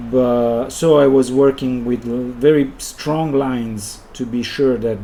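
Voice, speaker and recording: A man speaks in an Italian accent. Noticeable background noise and audible room echo surround his voice. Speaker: illustrator and designer. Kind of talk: live stream commentary while drawing. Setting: live stream. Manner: halting, with many pauses.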